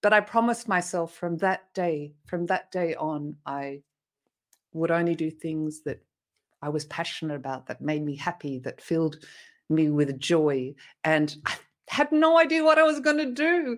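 In a very clean recording with a silent background, a woman speaks with an Australian accent. Her pitch is fairly low and varies in an ordinary way. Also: moderate pace. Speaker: motivational speaker. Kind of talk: interview.

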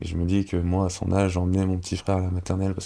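A man speaks very fast in a very deep, low voice, his intonation flat and monotone and his tone dark and mellow. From Paris region, France (Cergy, Val-d'Oise). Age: 30s. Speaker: professional ice hockey player. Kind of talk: interview. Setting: studio. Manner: halting.

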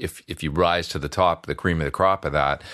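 A man talks with a western Canadian accent. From Alberta, Canada. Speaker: session guitarist and YouTuber. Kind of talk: casual interview chat. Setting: remote call from home studio.

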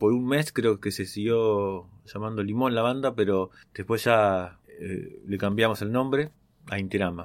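On a very clean recording with a silent background, a man talks at a fairly low pitch with ordinary pitch variation. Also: fairly slow pace. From Argentina, western Greater Buenos Aires. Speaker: musician. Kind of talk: personal storytelling monologue. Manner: hesitant, many fillers.

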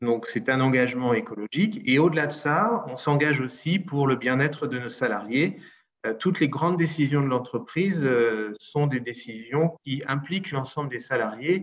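A man in a normal speaking voice, at a fairly slow pace with lively intonation. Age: 40s. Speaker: entrepreneur. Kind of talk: interview.

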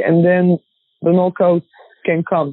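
A woman talks at a fairly low pitch. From Croatia. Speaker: professional boxer. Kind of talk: interview. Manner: halting.

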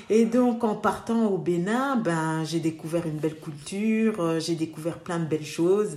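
Fairly slow, fairly low-pitched female speech, a normal speaking voice with ordinary pitch variation. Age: 30s. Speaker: dentist. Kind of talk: casual interview.

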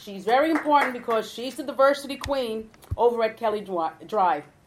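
Over noticeable background noise, a woman talks at a fairly quick pace with a fairly high pitch and lively intonation. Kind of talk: ceremony emcee speech. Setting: stage with audience.

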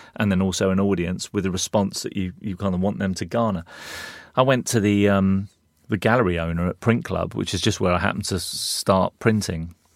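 Speaking at a fairly quick pace with a London accent, a man with a fairly low voice keeps his intonation fairly even in a very clean, silent recording with a dry, close sound and no echo. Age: 50s. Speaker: advertising creative director and artist. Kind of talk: casual interview.

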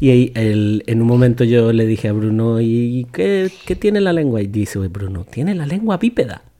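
A man speaks at a fairly slow pace with a medium pitch. Noticeable background noise sits behind him. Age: 40s. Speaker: podcast host and father. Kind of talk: casual educational chat with his child.

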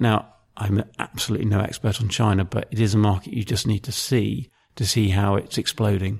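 Here a man talks at a moderate pace with a fairly low pitch and fairly even intonation. The recording is very clean, with a silent background. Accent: southern English. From southern England (Maidenhead, Berkshire). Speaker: football club marketing executive. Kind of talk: interview. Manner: hesitant, many fillers.

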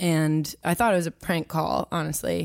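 Heard on a very clean recording with a silent background and a dry, close sound with no echo, a woman with an American accent and a fairly low pitch has a normal speaking voice, talking at a moderate pace with fairly even intonation. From Washington DC area (Potomac, Maryland). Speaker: country singer-songwriter. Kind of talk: interview.

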